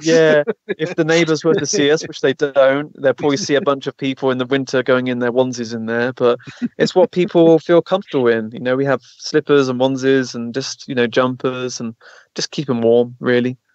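Here a man has a plain, everyday voice at a medium pitch. He talks at a fairly quick pace with ordinary pitch variation. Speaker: physical mediumship circle host and consciousness retreat leader. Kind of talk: casual conversational talk on a radio show interview.

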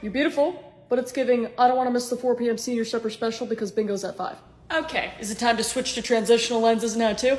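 Audible room echo carries a woman's high-pitched voice as she speaks at a very fast pace. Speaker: comedy skit creator. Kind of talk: acted comedy sketch dialogue. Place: home room. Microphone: phone near.

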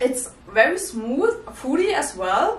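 A woman speaks in a high pitch with a non-native accent. Her pitch swings very widely, and the room echo is audible. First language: not English. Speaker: whisky reviewer. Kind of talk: casual talk to camera. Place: home room.

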